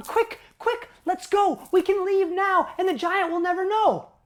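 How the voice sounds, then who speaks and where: A woman puts on a squeaky character voice at an extremely high pitch, speaking at a fairly slow pace. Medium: stage play.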